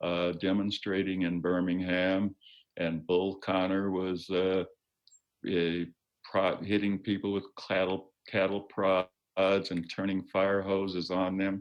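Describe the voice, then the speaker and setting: Very deep, low male voice, monotone and flat, very slow, at a very even loudness. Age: 80s+. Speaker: retired judge and civil rights lawyer. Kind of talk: interview. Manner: halting.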